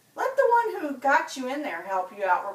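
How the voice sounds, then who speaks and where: A put-on character voice at a high pitch moves at a moderate pace with very wide pitch swings. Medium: read story. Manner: curt, dismissive.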